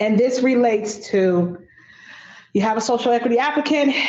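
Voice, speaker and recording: A woman's voice with ordinary pitch variation and audible room echo. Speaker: subcommittee chair. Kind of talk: public meeting discussion. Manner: stutter.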